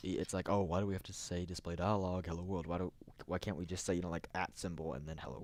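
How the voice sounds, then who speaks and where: A man talks at a fairly quick pace in a very deep, low pitch. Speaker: programming tutorial maker. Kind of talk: screen-recorded tutorial. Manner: fast; halting, many fillers and restarts.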